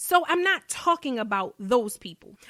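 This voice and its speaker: A woman with a Baltimore accent speaks in an animated tone, her pitch swinging very widely, in a dry, close recording with no echo. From Baltimore, US. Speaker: life coach. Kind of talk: motivational podcast talk.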